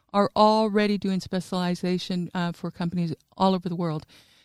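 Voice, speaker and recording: With an American accent, a woman speaks at a moderate pace and medium pitch with ordinary pitch variation in an unremarkable speaking voice, the sound dry and close with no echo. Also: very clean recording, silent background. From New Mexico, US. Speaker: regional development executive. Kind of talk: interview. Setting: studio.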